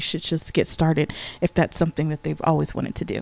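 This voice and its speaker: A woman talks at a fairly quick pace. Her tone is dark and mellow. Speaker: lifestyle and DIY vlogger. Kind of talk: casual chat. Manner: talkative.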